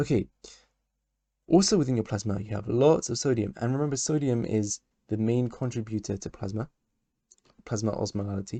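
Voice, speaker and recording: A man with a dark, mellow, somewhat breathy tone speaks at a fairly quick pace with ordinary pitch variation, the sound dry and close with no echo over a quiet background. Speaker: medical educator. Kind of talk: lecture. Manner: halting.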